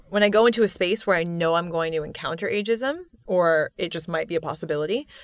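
The recording is very clean, with a silent background, and a woman speaks at a medium pitch. Hers is an unremarkable speaking voice with ordinary pitch variation. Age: 20s. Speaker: author and poet. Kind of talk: casual interview.

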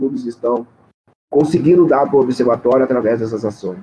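Speaking at a very fast pace is a man. His tone is dark and mellow. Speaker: anti-racism activist. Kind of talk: interview.

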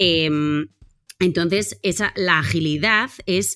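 A woman speaks in an animated tone. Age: 30s. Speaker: team facilitator and author. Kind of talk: interview.

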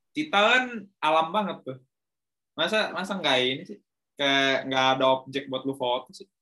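Speaking in an ordinary speaking voice, a man keeps a moderate pace while his pitch varies a normal amount. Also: fairly high pitch for a man, big swings in loudness. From Indonesia, Bandung. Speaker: podcast host. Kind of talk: casual chat.

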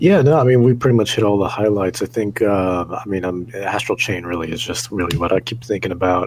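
A man's fairly low pitch at a fairly quick pace, hardly any pauses, ordinary pitch variation, with noticeable background noise. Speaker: gaming podcast co-host, works at a game store. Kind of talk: casual chat.

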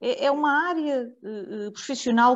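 A woman's voice shows ordinary pitch variation, with a quiet background behind it. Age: 50s. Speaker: local politician. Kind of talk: radio panel discussion. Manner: halting.

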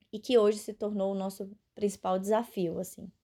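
A woman's voice, medium in pitch and dark and mellow in tone. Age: 20s. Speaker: family caregiver. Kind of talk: recorded testimony.

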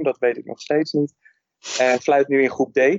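This man talks at a medium pitch in a flat, monotone delivery. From Netherlands. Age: 30s. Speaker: football referee and teacher. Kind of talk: casual interview.

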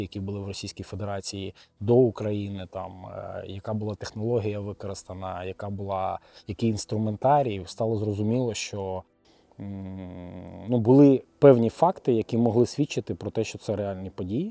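Music plays behind a man whose fairly low voice has fairly even intonation and big swings in loudness. The sound is dry and close, with no echo. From Kyiv, Ukraine. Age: 30s. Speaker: finance professional and volunteer. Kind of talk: interview testimony.

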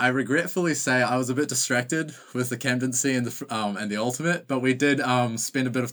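Fairly quick speech from a man in a New Zealand accent. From New Zealand, Auckland. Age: 20s. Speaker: ultimate frisbee player. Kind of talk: casual interview. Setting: video call.

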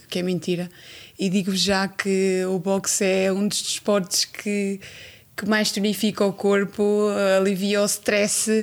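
Here is a normal speaking voice at a fairly slow pace. The recording is very clean with a silent background. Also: woman. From Cape Verde. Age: 30s. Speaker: boxer. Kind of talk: casual chat.

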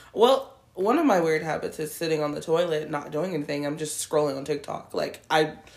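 A woman with a very deep, low pitch. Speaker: podcast co-host. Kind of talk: casual chat. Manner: talks with teeth closed.

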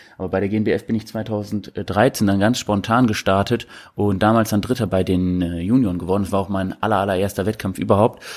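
The recording is very clean, with a silent background. A man talks fairly quickly in a fairly low, monotone voice with flat intonation. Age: 20s. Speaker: bodybuilder and prep coach. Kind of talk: casual interview.

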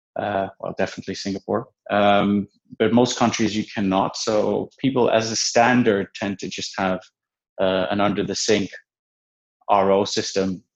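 A man's fairly low, monotone, flat voice with a Dutch accent at a moderate pace, over a quiet background. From Netherlands. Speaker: venture investor. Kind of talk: interview.

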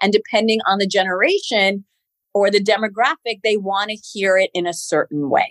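A woman with an unremarkable speaking voice and an American accent talks at a moderate pace and medium pitch, with ordinary pitch variation. The sound is dry and close, with no echo. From New York City (Queens), US. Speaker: TV news anchor. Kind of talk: interview.

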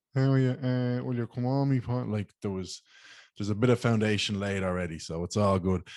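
Heard in a dry, close sound with no echo, a man with an Irish accent speaks at a fairly low pitch with ordinary pitch variation. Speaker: podcast host. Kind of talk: casual chat.

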